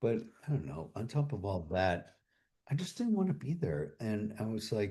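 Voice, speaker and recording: Somewhat breathy and dark, mellow in tone, a man's voice moves at a moderate pace through very wide pitch swings. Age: 60s. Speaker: streamer. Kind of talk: casual chat. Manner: halting.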